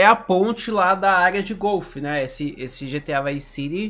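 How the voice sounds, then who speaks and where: A man speaks in an animated tone at a fairly slow pace. The background is quiet. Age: 20s. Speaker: gaming YouTuber; gaming streamer. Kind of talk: video reaction commentary. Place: home room.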